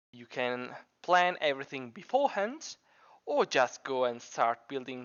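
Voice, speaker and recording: A speaker with a non-native accent talks at a fairly slow pace. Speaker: computer science student; Minecraft builder. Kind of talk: scripted tutorial narration.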